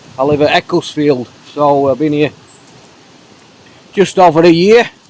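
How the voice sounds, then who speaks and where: Noticeable background noise sits behind the speaker, a man. He talks at a fairly high pitch and a moderate pace. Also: ordinary pitch variation. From South Yorkshire, England. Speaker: hiking vlogger. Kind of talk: casual vlog monologue. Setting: outdoors walking in woods.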